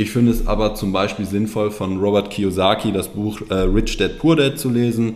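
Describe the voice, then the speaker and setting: There is audible room echo and noticeable background noise. Over it, a man talks at a moderate pace in a fairly low pitch. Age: 30s. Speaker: financial planner. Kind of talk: interview.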